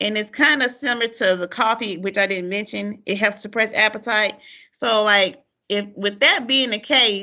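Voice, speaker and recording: A loud, bright, sharp tone at a moderate pace, with fairly even intonation over a quiet background. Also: woman, fairly high pitch for a woman. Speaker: podcast host. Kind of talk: casual chat. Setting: call.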